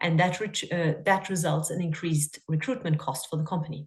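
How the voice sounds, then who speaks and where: Somewhat breathy, a woman with a fairly low pitch speaks at a moderate pace over a quiet background. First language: not English. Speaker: coach. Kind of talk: webinar talk. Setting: video call.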